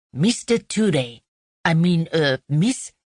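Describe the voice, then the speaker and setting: Middle pitch in a put-on character voice. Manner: baffled, hesitant over how to address her.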